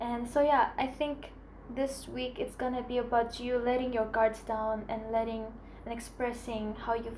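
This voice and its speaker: In a room with audible echo, a woman with a high voice speaks in a flat monotone at a moderate pace. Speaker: tarot reader. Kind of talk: tarot reading.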